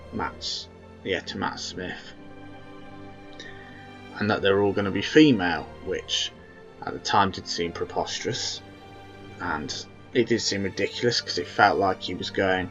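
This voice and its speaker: A man speaks fairly slowly at a fairly low pitch with ordinary pitch variation, leaving long, frequent pauses. Music plays in the background. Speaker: fan video reviewer. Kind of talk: casual talk to camera. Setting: low-quality home microphone. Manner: rambling, hesitant.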